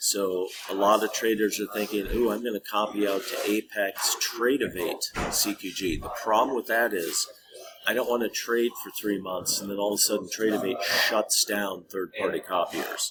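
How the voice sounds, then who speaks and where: A man with an American accent keeps a moderate pace while noticeable background noise runs behind him. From US Midwest, Minnesota. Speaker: trading educator. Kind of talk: tutorial. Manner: casual, conversational.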